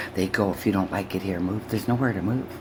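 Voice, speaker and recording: A woman speaks in an animated tone with ordinary pitch variation over noticeable background noise. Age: 60s. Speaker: YouTuber reacting to a video. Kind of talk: reaction commentary rant.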